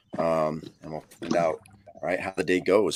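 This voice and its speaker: A man speaks quietly. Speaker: live stream commentator for kayak fishing league. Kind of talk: live commentary. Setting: at home, early morning. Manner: quiet, keeping voice down.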